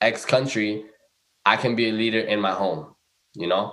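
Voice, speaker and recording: A man with an American accent, an ordinary speaking voice and medium pitch. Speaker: recent graduate, corporate professional. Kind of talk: casual chat.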